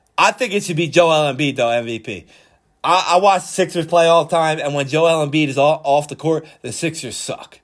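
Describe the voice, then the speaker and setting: Speaking at a fairly quick pace with an American accent, a man uses a fairly high pitch and ordinary pitch variation in a very clean recording with a silent background. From Philadelphia, US. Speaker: sports podcast host. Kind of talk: solo sports commentary podcast. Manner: casual, animated.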